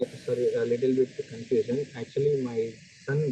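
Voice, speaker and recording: A soft-spoken man at a moderate pace. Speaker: parent. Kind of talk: Q&A question.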